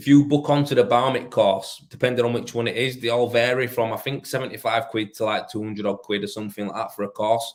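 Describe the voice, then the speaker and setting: Talking at a very fast pace, a man with a Yorkshire accent keeps a medium pitch and fairly even intonation. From northern England, Leeds. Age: 30s. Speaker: rendering tradesman. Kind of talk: casual live stream chat. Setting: live stream.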